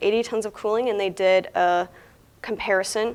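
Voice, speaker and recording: Intonation is monotone and flat throughout. The delivery keeps a moderate pace. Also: woman. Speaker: seminar presenter on HVAC engineering. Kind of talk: lecture. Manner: projected presentation voice.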